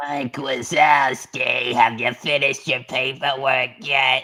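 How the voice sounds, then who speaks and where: Doing a put-on character voice, a man speaks raspy and medium-pitched at a fairly slow pace. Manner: imitating the cartoon character.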